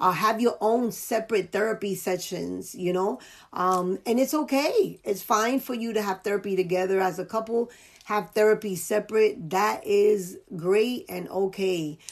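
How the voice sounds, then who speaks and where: A woman with a New York accent speaks at a moderate pace and medium pitch, with ordinary pitch variation. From US Northeast (New York, the Bronx). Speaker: life coach and podcast host. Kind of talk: casual interview chat.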